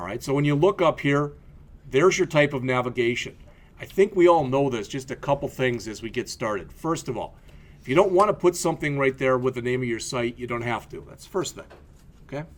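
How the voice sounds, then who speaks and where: With a slight Midwestern US accent, a man talks fairly quickly at medium pitch, his intonation lively and his loudness swinging widely. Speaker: college instructor. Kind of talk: lecture. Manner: casual, conversational with frequent fillers.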